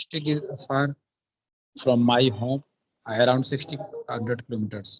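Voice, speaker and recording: A somewhat breathy man with a North Indian accent talks at a fairly slow pace. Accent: Indian English, Hindi belt. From India, Bundelkhand, Madhya Pradesh. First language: Bundelkhandi. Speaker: police officer. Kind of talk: casual chat. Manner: halting.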